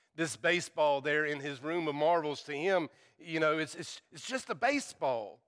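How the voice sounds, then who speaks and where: Here a man speaks with a slight Southern US accent. His voice is fairly high, with ordinary pitch variation. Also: moderate pace. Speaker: preacher. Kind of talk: sermon. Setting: church. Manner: humorous, joking.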